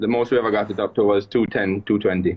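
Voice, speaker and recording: A man with a Jamaican accent. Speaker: rally driver. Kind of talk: podcast interview. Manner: halting.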